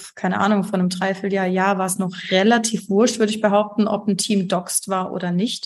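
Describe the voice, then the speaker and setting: At a fairly quick pace, a woman speaks with monotone, flat intonation and a somewhat breathy quality. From Germany, Heidelberg. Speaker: graphic designer and art director. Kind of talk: podcast interview.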